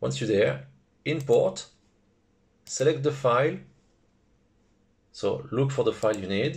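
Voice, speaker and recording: A man with a French accent speaks at a fairly slow pace. His pauses are long and frequent. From France. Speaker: FPV drone hobbyist. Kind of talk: software tutorial narration.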